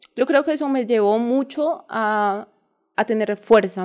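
A woman speaks at a fairly high pitch with ordinary pitch variation, on a very clean recording with a silent background. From Colombia, countryside near Ibagué, Tolima. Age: 20s. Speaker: parkour coach. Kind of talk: interview.

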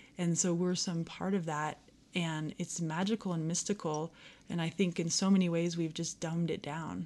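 In an American accent, a woman speaks with a fairly low pitch, a dark, mellow tone and monotone, flat intonation. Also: moderate pace, quiet background. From Aspen, Colorado. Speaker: yoga teacher. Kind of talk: casual chat.

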